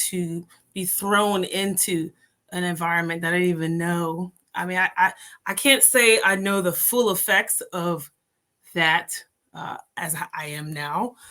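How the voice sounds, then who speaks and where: Speaking at a fairly slow pace in an American accent, a woman uses a medium pitch, fairly even intonation and a bright, sharp tone. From Jamaica. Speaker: entrepreneur and mother. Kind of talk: podcast interview.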